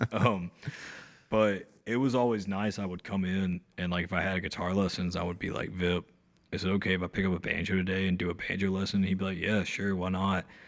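With a North Carolina accent, a man speaks very fast in a very deep, low voice and a monotone, flat delivery, on a very clean recording with a silent background. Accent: Southern US, North Carolina. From rural North Carolina (Ararat, near Mount Airy). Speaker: singer-songwriter, band frontman. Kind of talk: casual interview chat.

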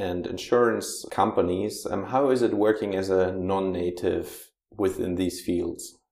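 A man talks fairly slowly in a German accent. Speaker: podcast host. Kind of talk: interview.

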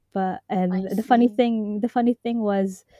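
In a dry, close recording with no echo, a woman speaks fairly slowly in a dark, mellow, somewhat breathy tone with fairly even intonation. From Hong Kong, Filipino family. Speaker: journalist. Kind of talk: interview.

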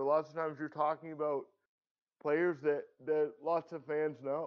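At a fairly slow pace, a man with a Canadian accent talks at fairly high pitch. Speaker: sports podcast co-host. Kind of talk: casual chat.

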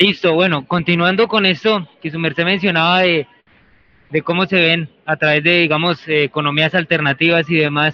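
A man speaks at a high pitch. His pace is moderate and his intonation fairly even. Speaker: university student researcher. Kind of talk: interview. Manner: halting.

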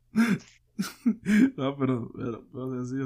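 Dark, mellow tone with lively intonation and a Mexican accent. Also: man. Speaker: podcast host. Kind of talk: casual chat.

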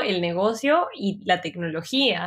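Lively intonation from a woman at a very slow pace. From Peru. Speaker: UX designer. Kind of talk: interview.

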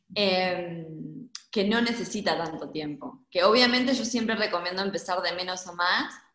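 Room echo can be heard around the voice. The pace is moderate, and the pitch varies in an ordinary way. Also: woman, medium pitch for a woman. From Argentina, Gualeguaychú (Entre Ríos). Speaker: urban agriculture project co-founder. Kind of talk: interview conversation.

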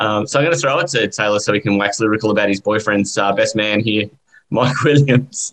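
Using a normal speaking voice, a man talks at a fairly quick pace with fairly low pitch. His loudness stays very even, and his pitch varies in an ordinary way. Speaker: podcast host. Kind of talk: casual banter.

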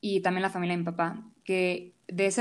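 Recorded very cleanly over a silent background, a woman speaks. Her pitch is fairly low and her pace moderate. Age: 20s. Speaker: home cook and food content creator. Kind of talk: casual interview.

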